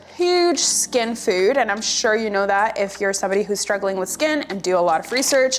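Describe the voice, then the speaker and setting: Noticeable background noise sits behind a woman with a Canadian accent. Her pitch is fairly high. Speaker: nutrition vlogger. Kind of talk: casual vlog. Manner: slow; casual with filler words.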